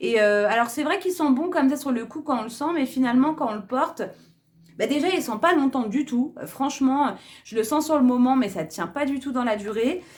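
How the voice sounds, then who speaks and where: Lively intonation from a woman speaking at a high pitch. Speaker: beauty and lifestyle youtuber. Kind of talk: casual haul video talk. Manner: hesitant, many fillers.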